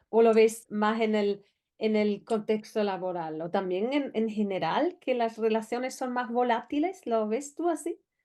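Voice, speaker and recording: A woman with a fairly high pitch and a dark, mellow tone speaks at a fairly slow pace. Her intonation is lively against a quiet background. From outside Spain. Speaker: interviewer. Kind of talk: interview. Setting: studio.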